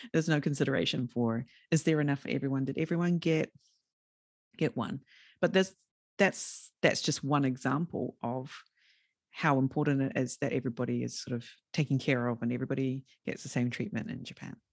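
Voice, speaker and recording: A woman with a New Zealand accent and a very deep, low pitch, with long, frequent pauses against a quiet background. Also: ordinary pitch variation, fairly quick pace. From New Zealand, rural area. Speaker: podcast host and entrepreneur. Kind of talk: interview conversation.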